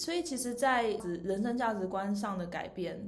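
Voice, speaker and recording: A woman with a slight Taiwanese accent speaks at a fairly quick pace. Her pitch varies in an ordinary way, and the room echo is audible. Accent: Taiwanese Mandarin, slight. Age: 30s. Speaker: podcast host. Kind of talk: casual chat. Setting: rented recording space.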